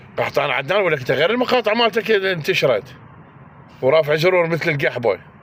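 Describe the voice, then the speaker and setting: Over noticeable background noise, a man talks at a high pitch and a fairly quick pace, in an animated tone with lively intonation. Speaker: political commentator. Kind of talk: angry monologue.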